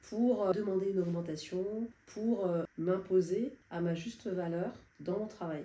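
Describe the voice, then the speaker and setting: Noticeable background noise is heard behind a woman. She speaks at a very slow pace with medium pitch and ordinary pitch variation. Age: 60s. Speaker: client giving a testimonial. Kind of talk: testimony. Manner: hesitant, many fillers.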